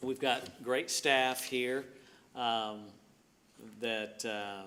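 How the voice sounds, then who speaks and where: With a Mississippi accent, a man speaks very slowly at a medium pitch, bright and sharp in tone, with fairly even intonation. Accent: Southern US (Mississippi). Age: 60s. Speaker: city administrator. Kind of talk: public meeting address. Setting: city board meeting, speaking standing. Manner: halting, many fillers.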